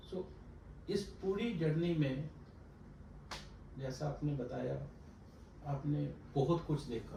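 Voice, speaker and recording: A man with a fairly high pitch and ordinary pitch variation, with long, frequent pauses, over noticeable background noise. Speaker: talk show host. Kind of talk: talk show interview questions.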